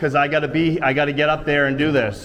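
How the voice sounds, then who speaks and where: Very fast and fairly high-pitched, a man talks through noticeable background noise and audible room echo. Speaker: first amendment auditor. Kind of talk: heated confrontation. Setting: courthouse entrance. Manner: loud.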